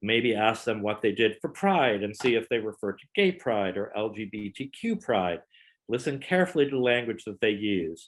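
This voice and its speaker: A man speaks in a plain, everyday voice at a medium pitch and a moderate pace. His intonation is lively, with big swings in loudness. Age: 60s. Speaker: wedding photographer. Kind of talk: presentation.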